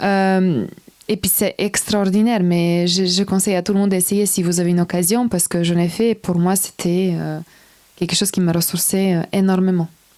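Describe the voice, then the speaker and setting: With a Serbian accent, a woman speaks at a moderate pace in a medium-pitched, dark, mellow tone. Her intonation is monotone and flat, and her loudness stays very even. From Serbia / North Macedonia. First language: Serbian (speaking French). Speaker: personal development coach. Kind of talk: interview.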